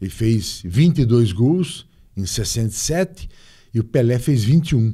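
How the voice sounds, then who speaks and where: Somewhat breathy and dark, mellow in tone, a man speaks at a fairly slow pace. His pitch is medium and his intonation lively. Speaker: former football club president. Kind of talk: interview.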